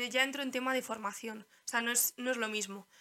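A woman with a fairly high pitch and a bright, sharp tone talks at a moderate pace in a monotone, flat intonation. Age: 20s. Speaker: physiotherapist. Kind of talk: casual chat.

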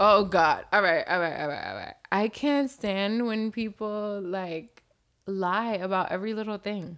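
Speaking at a fairly slow pace, a woman of medium pitch has an animated tone and ordinary pitch variation on a very clean recording with a silent background. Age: 20s. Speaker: podcast host. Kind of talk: casual chat.

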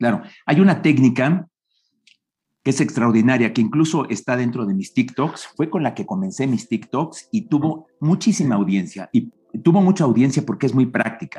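A man speaks in a dark, mellow tone at a fairly high pitch. His pitch swings very widely. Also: moderate pace. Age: 60s. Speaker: public speaking coach. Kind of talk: interview.

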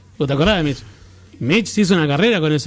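A man with a fairly high voice talks with lively intonation. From Argentina. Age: 30s. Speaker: radio co-host. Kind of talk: casual chat.

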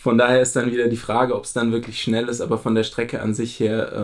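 Flat and monotone, a man talks at a fairly quick pace with vocal fry. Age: 30s. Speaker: amateur runner. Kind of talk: casual chat.

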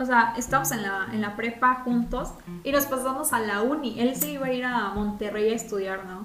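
A woman's fairly high voice at a fairly quick pace, with music in the background and audible room echo. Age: young. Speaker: podcast co-host. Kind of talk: casual chat. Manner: animated.

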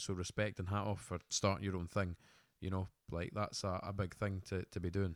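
In a Scottish accent, a man with a fairly low pitch speaks at a fairly quick pace in a very clean recording with a silent background and a dry, close sound with no echo. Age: 20s. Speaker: podcast co-host, business owner. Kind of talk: casual chat. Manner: animated.

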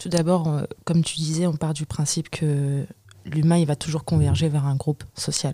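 A woman's very deep, low voice, dark and mellow in tone, somewhat breathy, with monotone, flat intonation at a moderate pace. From France, Comorian and Malagasy heritage. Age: 20s. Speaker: poet and artist. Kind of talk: group discussion.

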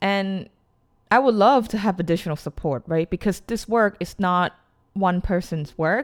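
A woman with an American accent speaks at a medium pitch in an unremarkable speaking voice, recorded very cleanly against a silent background with a dry, close sound and no echo. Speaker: podcast host, education worker. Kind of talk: interview. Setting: call.

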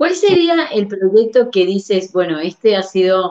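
A woman with a plain, everyday voice talks fairly slowly, her intonation lively. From Uruguay. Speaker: podcast host. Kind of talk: interview.

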